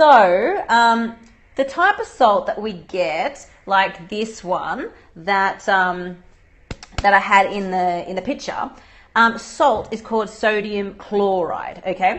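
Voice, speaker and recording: Speaking very slowly in an Australian accent, a woman uses a medium pitch with ordinary pitch variation. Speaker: dietitian. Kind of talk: live Q&A livestream. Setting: livestream video broadcast. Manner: casual, conversational with fillers.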